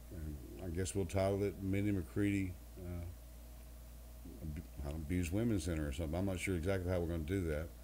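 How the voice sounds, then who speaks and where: Somewhat breathy and dark, mellow in tone, a man's very deep, low voice moves at a fairly quick pace broken by long, frequent pauses. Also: ordinary pitch variation. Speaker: country singer. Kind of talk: interview answer.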